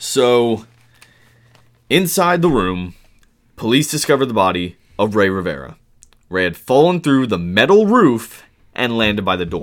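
Pausing long and often, a man with a medium-pitched voice talks at a moderate pace, his pitch swinging very widely. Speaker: podcast co-host. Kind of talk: casual true-crime narration.

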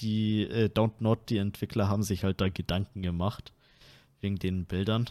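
This is a normal speaking voice with fairly even intonation. The sound is dry and close with no echo, and the recording is very clean with a silent background. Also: man. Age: 20s. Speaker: podcast host. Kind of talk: casual chat.

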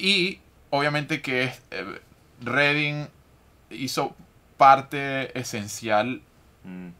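A man's bright, sharp voice, fairly high in pitch, with lively intonation at a very slow pace and long, frequent pauses. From Venezuela. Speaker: podcast host. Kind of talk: interview.

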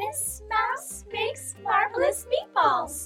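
Over clear background music, a put-on character voice talks at a very slow pace in an extremely high pitch.

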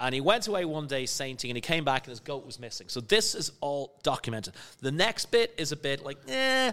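Bright and sharp in tone, a man talks at a fairly quick pace with fairly high pitch, hardly any pauses and big swings in loudness. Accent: Dublin. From Ireland, Skerries near Dublin. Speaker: spirits entrepreneur and educator. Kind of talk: casual chat.

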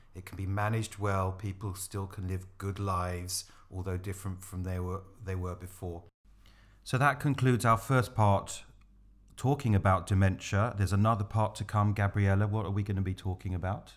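A normal speaking voice moves at a moderate pace with fairly even intonation. The recording is very clean, with a silent background. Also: man, fairly low pitch for a man. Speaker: podcast co-host. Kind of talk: informational podcast.

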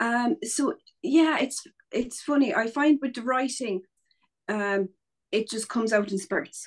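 A woman speaks in an Irish accent at a high pitch, with lively intonation, a fairly slow pace and long, frequent pauses. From Ireland. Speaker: painter and writer. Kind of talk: casual interview chat. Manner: chatty, many fillers.

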